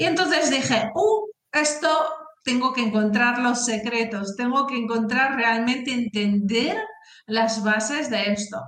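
A woman talks at a high pitch and a fairly slow pace, with very even loudness and ordinary pitch variation. Room echo is audible. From northern Spain (Asturias). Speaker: career and talent development expert, author. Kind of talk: interview.

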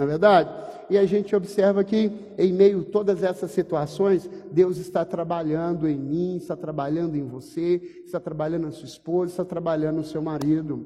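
Against noticeable background noise, a man talks at a moderate pace. His pitch is high for a man, with fairly even intonation. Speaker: pastor. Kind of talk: sermon.

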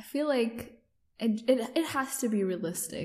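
A woman speaks in a somewhat breathy voice. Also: very clean recording, silent background. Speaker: podcast host. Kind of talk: casual chat.

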